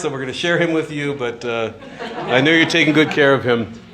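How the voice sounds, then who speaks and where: A man's fairly high-pitched voice, with audible room echo and noticeable background noise. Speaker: priest giving a retreat talk. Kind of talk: retreat talk to live audience. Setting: retreat hall with audience. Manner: mumbling; casual with many fillers.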